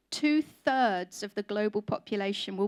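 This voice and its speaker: In a very clean recording with a silent background, a woman with an English accent speaks at a moderate pace, her fairly high pitch showing ordinary variation. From England. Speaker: conference speaker on food industry. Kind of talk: conference talk.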